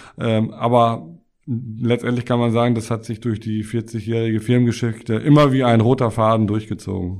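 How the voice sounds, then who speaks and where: In a monotone, flat intonation, a man speaks at a moderate pace. The recording is very clean with a silent background. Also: medium pitch for a man. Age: 50s. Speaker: tax advisor, firm partner. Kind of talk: interview. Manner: hesitant, many filler sounds.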